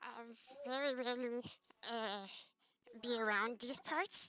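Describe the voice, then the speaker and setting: A woman's put-on character voice, high in pitch. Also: fairly slow pace. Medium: virtual streamer. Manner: stammering, hesitant.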